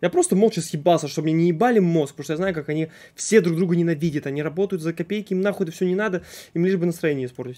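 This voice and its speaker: Speaking very fast, a man uses a high pitch with ordinary pitch variation. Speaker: streamer. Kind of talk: casual stream storytelling. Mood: frustrated, swearing heavily. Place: home room.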